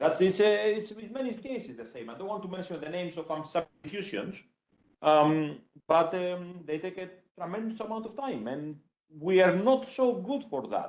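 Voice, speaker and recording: This man speaks at a moderate pace in a high pitch, with lively intonation. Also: big swings in loudness. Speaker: computer science professor. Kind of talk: conference talk. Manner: loud.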